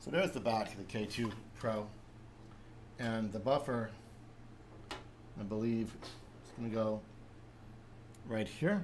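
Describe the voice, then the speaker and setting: Speaking with an American accent, a man talks at a fairly slow pace, taking long, frequent pauses. Audible room echo surrounds his voice. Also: medium pitch for a man, ordinary pitch variation. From New Jersey (North Jersey, with Brooklyn). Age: 40s. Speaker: 3D printing youtuber. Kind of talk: live stream tutorial and chat. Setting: live stream with webcam.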